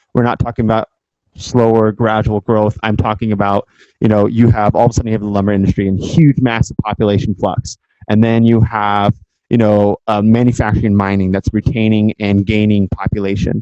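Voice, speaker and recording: A man with a West Coast US accent speaks at a fairly quick pace in a dark, mellow tone. His intonation is flat and monotone, his loudness very even, and the sound dry and close with no echo. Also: fairly low pitch for a man. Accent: General American (West Coast). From San Francisco Bay Area, California. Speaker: guest lecturer. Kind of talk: lecture. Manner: fast.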